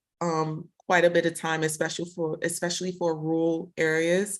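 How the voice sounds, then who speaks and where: The speaker has a Brooklyn accent and a fairly slow pace. The background is quiet. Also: woman. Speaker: tech professional guest. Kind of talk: casual interview conversation.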